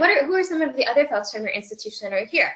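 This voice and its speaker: Her voice is loud. This woman's pitch swings very widely. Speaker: student affairs professional giving job search advice. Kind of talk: webinar presentation. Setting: webinar broadcast.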